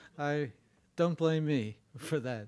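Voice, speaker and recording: In a very clean recording with a silent background, a man speaks very slowly in a fairly high voice with ordinary pitch variation. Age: 80s+. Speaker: education researcher and author. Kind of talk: lecture. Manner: halting.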